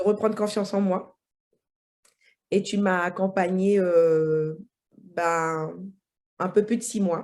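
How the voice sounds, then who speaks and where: The speech moves at a very slow pace with long, frequent pauses. The recording is very clean, with a silent background. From French Guiana. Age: 40s. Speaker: IT incident manager, coaching client. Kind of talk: testimony interview. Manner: halting, many hesitations.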